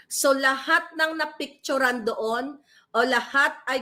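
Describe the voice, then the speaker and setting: A woman speaks at a very slow pace in a high-pitched, raised, projected voice with a bright, sharp tone. The recording is very clean, with a silent background. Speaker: political vlogger / commentator. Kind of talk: angry rant. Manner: loud, furious, insulting tirade aimed at named politicians; urgent, emphatic, addressing listeners directly.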